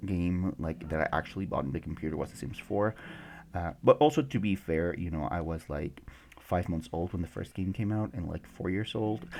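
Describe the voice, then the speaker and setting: Heard in a very clean recording with a silent background, the voice has vocal fry, a moderate pace and ordinary pitch variation. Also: man. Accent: Mexican. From Mexico. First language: Spanish. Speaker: gaming YouTuber. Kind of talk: casual commentary over a game build video. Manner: halting, many fillers.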